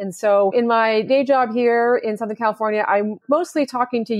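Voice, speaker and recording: A woman talks at a moderate pace in a plain, everyday voice with ordinary pitch variation. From Canada. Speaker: stock exchange executive. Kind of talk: interview.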